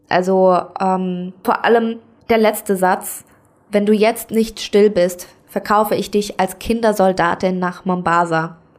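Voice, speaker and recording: At a fairly slow pace, a woman with an ordinary speaking voice talks with fairly even intonation. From Germany, Saarland. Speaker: podcast host. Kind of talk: solo monologue podcast.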